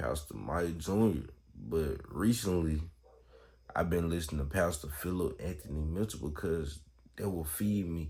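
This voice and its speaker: A man speaks with a very deep, low pitch, ordinary pitch variation and a somewhat breathy voice, at a fairly slow pace. Audible echo fills the room. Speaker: Bible vlogger. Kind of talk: casual Bible talk. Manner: casual, halting.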